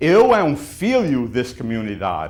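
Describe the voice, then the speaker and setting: Speaking in an American accent, the man takes his words at a very slow pace. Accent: American-accented, non-native Portuguese. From US Northeast, Portuguese-American community. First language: English (speaking Portuguese). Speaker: city council candidate. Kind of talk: interview. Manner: halting.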